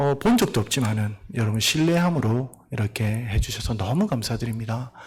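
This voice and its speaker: A man speaks at a moderate pace in a somewhat breathy voice with ordinary pitch variation. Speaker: missionary pastor. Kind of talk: sermon. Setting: church.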